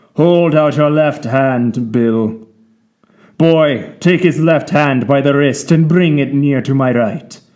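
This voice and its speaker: In a put-on character voice, a man speaks softly with a menacing tone at a fairly slow pace. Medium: audio drama. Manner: soft-spoken but menacing.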